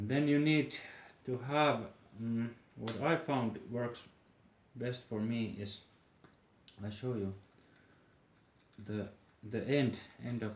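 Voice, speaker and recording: With a Finnish accent, a man talks at a very slow pace, leaving long, frequent pauses. His medium pitch shows ordinary variation, and audible room echo is present. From Finland. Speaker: flute maker. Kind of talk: tutorial. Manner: halting.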